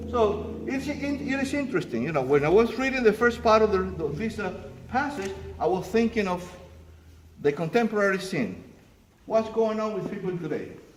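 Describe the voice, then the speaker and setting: A man talks at a fairly quick pace and high pitch with lively intonation, with audible room echo and noticeable background noise. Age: 60s. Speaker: pastor. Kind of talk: sermon.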